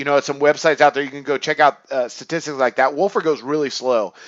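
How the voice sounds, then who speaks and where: Speaking very fast with a fairly high pitch and ordinary pitch variation, a man is heard in a dry, close sound with no echo and a quiet background. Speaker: sports betting analyst. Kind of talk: sports picks commentary monologue. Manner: casual with many fillers.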